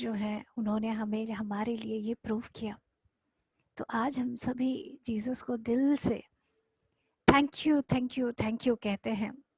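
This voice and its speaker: A soft-spoken woman talks with fairly even intonation. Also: dry, close sound with no echo. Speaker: spiritual teacher. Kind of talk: guided meditation. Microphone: too quiet.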